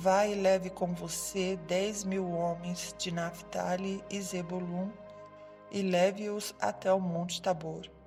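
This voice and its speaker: Over music in the background, a woman speaks very slowly at a medium pitch in a calm, soothing tone with monotone, flat intonation. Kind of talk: sleep story narration.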